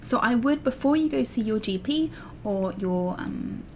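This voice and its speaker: A woman with an English accent speaks at a moderate pace. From England. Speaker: allergy parenting vlogger. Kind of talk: vlog tutorial. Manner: casual, with fillers.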